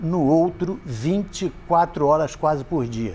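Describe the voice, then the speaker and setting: In a Rio de Janeiro accent, a man speaks at a very slow pace with very wide pitch swings. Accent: Rio de Janeiro Brazilian Portuguese. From Brazil, Rio de Janeiro. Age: 70s. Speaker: retired insurance broker, ex-smoker speaker. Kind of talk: talk to an audience.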